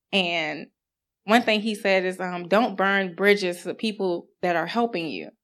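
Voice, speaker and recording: Her speech, a normal speaking voice at a medium pitch, comes at a fairly slow pace with fairly even intonation on a very clean recording with a silent background. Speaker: congregation member giving testimony. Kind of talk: testimony. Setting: church.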